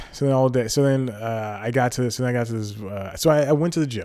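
On a very clean recording with a silent background, a man speaks at medium pitch in an animated tone, at a fairly quick pace with ordinary pitch variation. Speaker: podcast host. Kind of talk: comedy podcast. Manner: rambling, animated.

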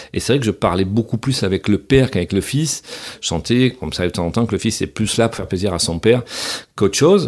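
Speaking at a very fast pace, a man is heard. His intonation is lively. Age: 50s. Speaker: retiring airline captain and flight instructor. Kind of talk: casual interview. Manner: hesitant with many fillers.

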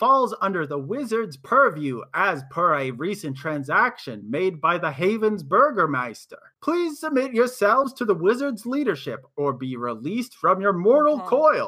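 On a very clean recording with a silent background, a man shouts in a put-on character voice, high-pitched with very wide pitch swings, at a moderate pace. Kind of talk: formal, proclaiming. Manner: shouting, officious.

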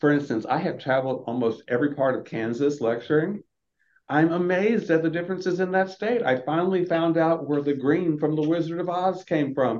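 A man speaks with an American accent at a fairly quick pace, his loudness very even. He has a normal speaking voice and ordinary pitch variation. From US Southeast, Florida. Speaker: dentist and health equity advocate. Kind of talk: interview conversation.

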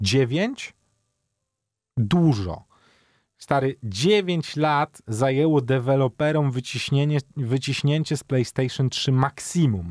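A man at a very slow pace with long, frequent pauses, medium in pitch, lively intonation, on a very clean recording with a silent background. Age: 30s. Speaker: gaming show co-host. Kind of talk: casual chat.

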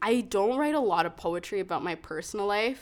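A woman speaks with a western Canadian accent and lively intonation. The recording is very clean, with a silent background. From Calgary, Canada. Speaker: poet and open mic host. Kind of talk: casual chat.

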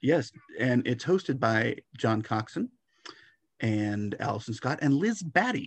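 A man speaks at a fairly slow pace in a normal speaking voice. His medium pitch rises and falls with lively intonation. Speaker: fanzine editor interviewer. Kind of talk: casual interview.

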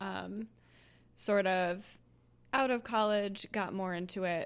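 A woman with a plain, everyday voice speaks at a medium pitch with fairly even intonation. The background is quiet. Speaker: podcast co-host, political advertising expert.

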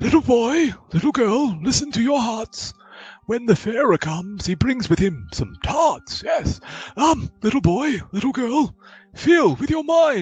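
Using a put-on character voice, a man speaks at an extremely high pitch and a fairly slow pace. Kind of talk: fussy genteel old-man voice. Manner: rambling, absent-minded, self-affirming "yes, yes".

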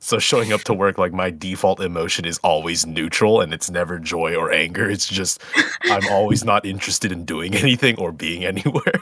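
Over noticeable background noise, a man with a very deep, low pitch talks at a fairly quick pace with ordinary pitch variation. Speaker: voice actor. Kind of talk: casual Q&A chat.

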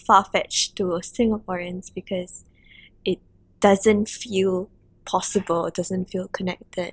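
Somewhat breathy and fairly slow, a woman speaks with monotone, flat intonation in a dry, close sound with no echo. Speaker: podcast host. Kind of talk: interview conversation.

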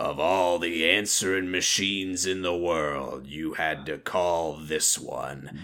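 Against light background noise, a man uses a gruff, put-on character voice with a very deep, low pitch, speaking at a fairly slow pace with hardly any pauses.

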